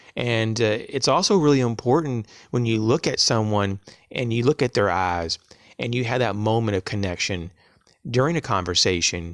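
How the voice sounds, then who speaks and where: Man with an ordinary speaking voice, medium in pitch, at a moderate pace with lively intonation, on a very clean recording with a silent background. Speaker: prepping channel creator. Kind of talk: tutorial.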